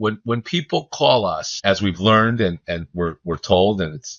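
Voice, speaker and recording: Here a man talks at a moderate pace. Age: 60s. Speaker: home care business owner. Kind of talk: podcast interview. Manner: hesitant, with fillers.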